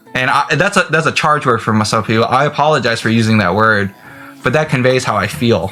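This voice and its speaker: Over music in the background, a man at medium pitch talks at a fairly quick pace with lively intonation and very even loudness. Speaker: video blogger. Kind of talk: casual vlog monologue. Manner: halting, many repetitions and fillers.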